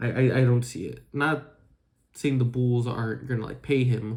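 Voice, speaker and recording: Somewhat breathy, a man talks at a moderate pace and medium pitch. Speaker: sports fan vlogger. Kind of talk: opinion rant. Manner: halting.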